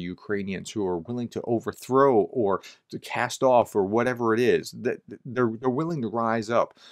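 A man talks at a moderate pace with a quiet background. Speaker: commentator. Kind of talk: commentary. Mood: calm, reflective. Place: home room.

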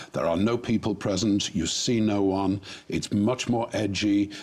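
A man talks at a fairly slow pace and fairly low pitch, monotone and flat, with very even loudness. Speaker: talk show guest. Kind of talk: interview answer. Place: studio. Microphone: lapel.

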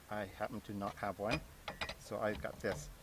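A mumbling man, with noticeable background noise and a dry sound with no echo. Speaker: home mechanic. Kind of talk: DIY repair tutorial. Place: car.

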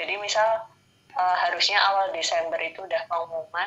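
At a moderate pace, a woman with an unremarkable speaking voice talks at a fairly low pitch with fairly even intonation. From Indonesia. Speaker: civil servant engineer; interviewee. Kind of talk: interview. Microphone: video call.

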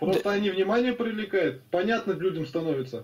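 A man with a high voice speaks over light background noise. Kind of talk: casual chat. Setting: video call. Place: home room.

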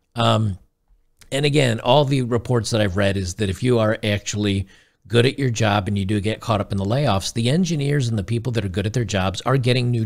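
A man speaks with ordinary pitch variation and a moderate pace, the background quiet. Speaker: streamer commentator. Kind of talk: reaction commentary. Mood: gleeful, mocking. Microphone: studio mic.

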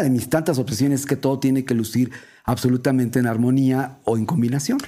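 Very fast and fairly even in intonation, a man speaks with a dark, mellow tone. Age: 60s. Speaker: radio host and art director. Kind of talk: casual chat.

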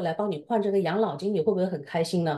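The background here is quiet. A woman speaks fairly low in a dark, mellow tone. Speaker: co-host of the seminar, professional advisor; co-host of the seminar. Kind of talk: seminar intro and commentary. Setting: online seminar, video call with screen sharing. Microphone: video call.

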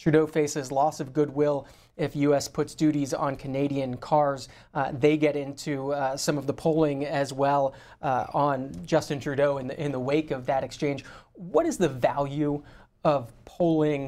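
Fairly slowly and in a monotone, flat intonation, a man speaks with a fairly high pitch and a dark, mellow tone. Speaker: TV call-in show host. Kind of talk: TV call-in interview. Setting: TV studio. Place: studio.

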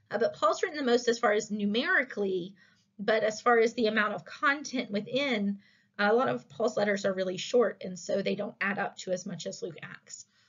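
Against a quiet background, a woman talks fairly quickly with ordinary pitch variation. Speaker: instructor. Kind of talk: lecture. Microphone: webcam.

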